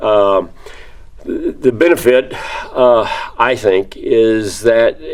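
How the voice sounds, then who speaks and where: Noticeable background noise is present. A man talks over it with an American accent. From Texas (Victoria). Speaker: construction industry alumnus. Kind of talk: interview answers. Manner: halting, many fillers and repeats.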